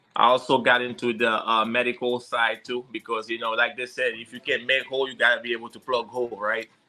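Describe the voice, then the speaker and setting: With a strong Haitian accent, a man speaks very fast at medium pitch, his loudness swinging widely. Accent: heavy Haitian. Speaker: security consultant and firearms instructor. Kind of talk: podcast interview. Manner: halting, many fillers.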